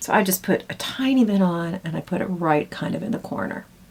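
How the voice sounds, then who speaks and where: This woman's fairly low voice moves with lively intonation over noticeable background noise. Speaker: beauty vlogger. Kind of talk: casual makeup tutorial.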